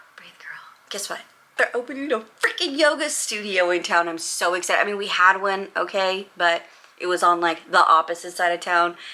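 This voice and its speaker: Over noticeable background noise, a woman with an American accent speaks at a medium pitch and a moderate pace, her intonation lively and her loudness rising and falling widely. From Los Angeles, US West Coast. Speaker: vlogger and real estate agent. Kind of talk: casual chat vlog. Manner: animated.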